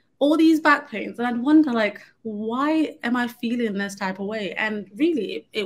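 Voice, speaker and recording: A woman in a London accent, fairly high-pitched with ordinary pitch variation. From London, England. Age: 30s. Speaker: conference speaker. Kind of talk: presentation.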